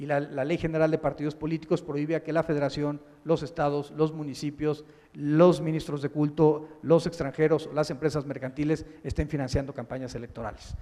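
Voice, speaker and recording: Monotone and flat in intonation, a man with a fairly high pitch speaks at a fairly quick pace. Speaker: public prosecutor. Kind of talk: keynote lecture. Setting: conference with audience. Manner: halting.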